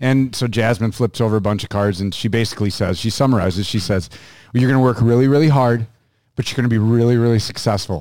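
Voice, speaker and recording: A man with an American accent talks at a very fast pace in a medium pitch, his pitch varying in an ordinary way, on a very clean recording with a silent background. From US Upper Midwest, Minneapolis suburbs. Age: 40s. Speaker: hunter and YouTuber, radio ad voice. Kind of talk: casual chat. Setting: studio.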